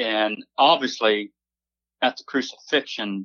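This is an ordinary speaking voice. It moves at a moderate pace with ordinary pitch variation. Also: man. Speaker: singer-songwriter. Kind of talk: casual chat.

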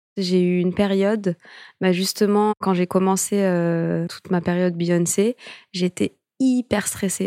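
The sound is dry and close with no echo, in a very clean recording with a silent background. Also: woman. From France. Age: 30s. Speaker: dancer and choreographer. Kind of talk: interview. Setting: studio.

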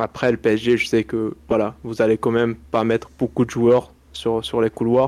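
At a fairly slow pace, a man speaks at medium pitch in a monotone, flat intonation, with a dry, close sound with no echo in a very clean recording over a silent background. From Morocco. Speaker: football pundit. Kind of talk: casual chat.

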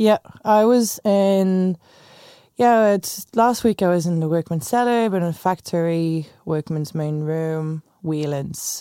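A woman's fairly low, dark, mellow voice in a French accent, at a very slow pace with ordinary pitch variation, dry and close with no echo, on a very clean recording with a silent background. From France. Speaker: tour manager. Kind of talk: casual interview chat.

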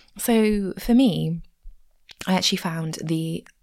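A woman with an English accent is heard on a very clean recording with a silent background. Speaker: podcast host. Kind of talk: unscripted casual ramble about a book, with some reading aloud. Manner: rambling, casual.

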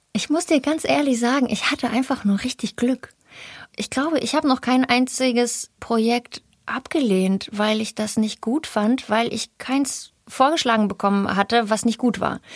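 A woman with a high pitch and ordinary pitch variation speaks at a moderate pace in a dry, close sound with no echo. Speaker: actress. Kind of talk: casual interview.

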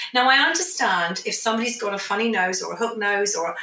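Using an unremarkable speaking voice, a woman talks at a fairly quick pace with a fairly high pitch and ordinary pitch variation. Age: 50s. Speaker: aesthetics doctor. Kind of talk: interview.

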